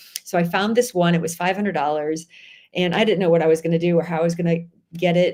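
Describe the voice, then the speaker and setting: Speaking very fast with a Chicago accent, a woman uses a fairly low pitch. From Chicago area, US Midwest. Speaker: author. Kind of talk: interview conversation. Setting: live stream.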